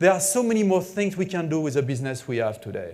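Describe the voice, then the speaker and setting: This man's high-pitched voice carries lively intonation. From France. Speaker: business executive. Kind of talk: keynote speech.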